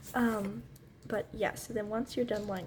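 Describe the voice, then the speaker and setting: A woman speaks very slowly. Her voice is soft-spoken. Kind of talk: ASMR tutorial. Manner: casual, hesitant.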